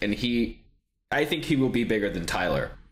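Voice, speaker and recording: Speaking with an American accent, a man uses a normal speaking voice at medium pitch and a moderate pace. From Texas. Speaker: podcast co-host. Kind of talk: casual chat.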